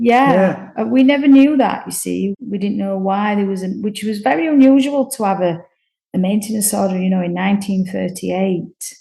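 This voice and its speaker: At a moderate pace, a woman with a medium pitch and ordinary pitch variation speaks in a dark, mellow, somewhat breathy tone. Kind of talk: interview answer.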